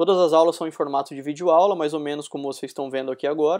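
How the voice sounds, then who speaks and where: A man speaks at a very fast pace with fairly even intonation. His pitch is fairly high, and the background is quiet. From Brazil, interior of São Paulo state. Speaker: UX designer and lecturer. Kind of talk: recorded conference talk. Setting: recorded talk streamed live to an event.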